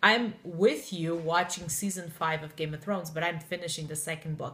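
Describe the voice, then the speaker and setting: A woman's fairly low voice with a Portuguese accent, at a moderate pace, with fairly even intonation and big swings in loudness. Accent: Portuguese, often taken for French Canadian. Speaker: book blogger. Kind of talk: casual chat.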